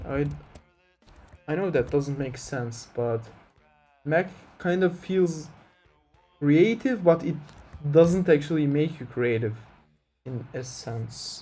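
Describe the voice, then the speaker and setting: With a Turkish accent, the speaker talks at a very slow pace with long, frequent pauses, big swings in loudness and ordinary pitch variation, music playing in the background. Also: man, fairly high pitch for a man. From Turkey. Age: 20s. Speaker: game developer streamer. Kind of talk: casual live stream chat. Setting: live stream. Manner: hesitant, many fillers.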